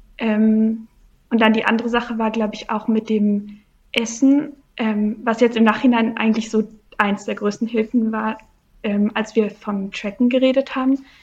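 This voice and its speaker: Somewhat breathy and fairly high-pitched, a woman speaks with monotone, flat intonation and long, frequent pauses. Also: moderate pace. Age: 20s. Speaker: coaching client. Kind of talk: interview. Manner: halting.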